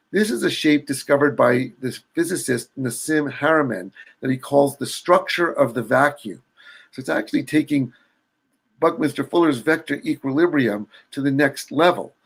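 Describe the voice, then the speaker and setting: This man has an ordinary speaking voice, pitched fairly high. His pitch varies in an ordinary way. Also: moderate pace. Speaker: sacred geometry artist and builder. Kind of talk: illustrated presentation.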